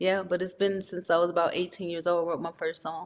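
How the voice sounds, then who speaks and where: A woman with an American accent talks at a fairly quick pace in a fairly low voice with monotone, flat intonation. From US West Coast, Los Angeles (South Central, Watts). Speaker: R&B singer-songwriter. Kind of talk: interview.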